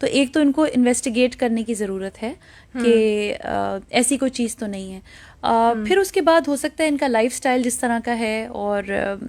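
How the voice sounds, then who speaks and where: Her voice sits high in pitch for a woman. The pitch variation is ordinary. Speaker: doctor, invited guest on health segment. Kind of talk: medical advice in radio interview.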